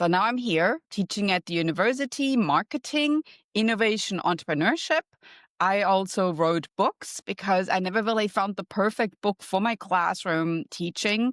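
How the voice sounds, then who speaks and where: A woman with a German accent speaks at a moderate pace and medium pitch, her intonation lively. The recording is very clean with a silent background, dry and close with no echo. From Germany. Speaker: marketing professor and wellness coach. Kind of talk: podcast interview.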